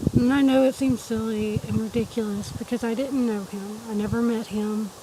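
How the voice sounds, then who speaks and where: A woman's fairly high voice at a moderate pace, intonation fairly even, with noticeable background noise. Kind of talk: casual talk to camera.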